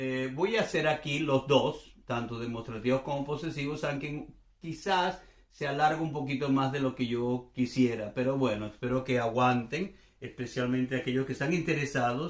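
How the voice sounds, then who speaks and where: Moderate in pace, this man talks with ordinary pitch variation. His pitch is medium. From Venezuela. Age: 60s. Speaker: language teacher. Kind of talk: casual explanatory chat. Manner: relaxed, conversational.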